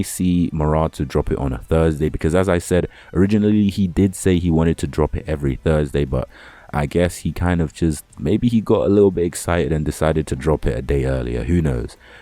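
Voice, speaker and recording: Very deep and low, a man's dark, mellow voice with a British accent moves at a fairly quick pace with ordinary pitch variation. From UK. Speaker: anime and manga YouTuber. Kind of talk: casual vlog talk to camera. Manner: casual, rambling with fillers.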